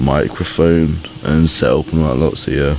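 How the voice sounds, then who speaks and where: In a dry sound with no echo and light background noise, a man speaks at a fairly slow pace with a very deep, low pitch. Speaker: daily vlogger. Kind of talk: casual vlog chat. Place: home room. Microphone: phone near.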